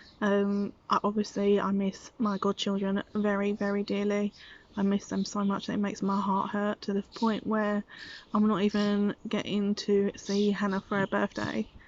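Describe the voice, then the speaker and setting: A woman's medium-pitched voice with a British accent, flat and monotone, at a moderate pace. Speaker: vlogger and preschool teacher. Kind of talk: casual vlog monologue. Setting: outdoors in garden.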